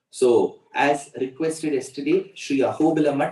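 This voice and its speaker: A man speaks in an Indian accent with a dark, mellow tone. His pitch is fairly high, with ordinary pitch variation. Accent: Indian English (Tamil). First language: Tamil. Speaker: religious discourse speaker. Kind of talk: religious discourse.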